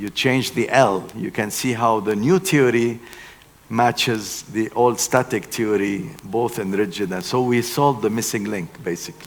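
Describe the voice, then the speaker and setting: A man with an ordinary speaking voice talks at a fairly slow pace, with medium pitch and ordinary pitch variation. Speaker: engineering keynote speaker. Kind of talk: lecture.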